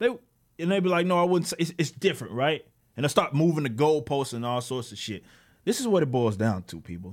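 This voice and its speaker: An animated man with an American accent talks at a very fast pace, his pitch swinging very widely. The background is quiet. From Texas. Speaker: political commentator and comic book creator; political commentator, comic book creator. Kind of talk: political rant monologue. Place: home room. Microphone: studio mic.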